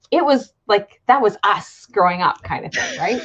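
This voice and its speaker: This is a normal speaking voice at a moderate pace. The intonation is lively. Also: woman. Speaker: wellness coach. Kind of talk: interview host talk.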